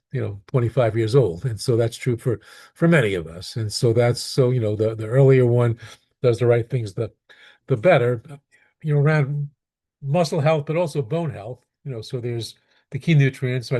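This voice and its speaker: A dark, mellow, somewhat breathy voice with an American accent at a fairly quick pace, with ordinary pitch variation against a quiet background. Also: man. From New York (Brooklyn). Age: 70s. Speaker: pediatrician. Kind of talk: Q&A answer. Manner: halting, many repetitions.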